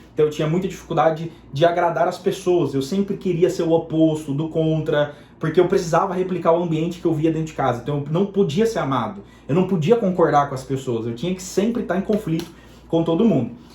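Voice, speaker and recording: Man's high voice at a very fast pace, ordinary pitch variation, over noticeable background noise. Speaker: digital marketing entrepreneur. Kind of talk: personal testimony. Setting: home bedroom. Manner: spontaneous, unscripted.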